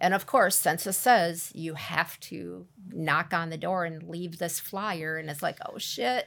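A woman with an American accent, vocal fry, ordinary pitch variation, big swings in loudness and hardly any pauses. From US Midwest, central Wisconsin. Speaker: former coworker. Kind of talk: casual chat.

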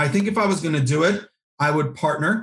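Here is a man with a somewhat breathy, fairly high voice. He talks at a fairly quick pace. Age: 40s. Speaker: nonprofit consultant and author. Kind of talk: interview.

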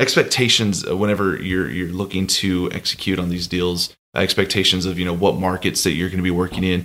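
The speaker has an American accent and fairly even intonation, in a very clean recording with a silent background. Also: man, very deep, low pitch for a man. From Texas, Austin. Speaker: M&A consultant. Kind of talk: interview. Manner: halting, many fillers.

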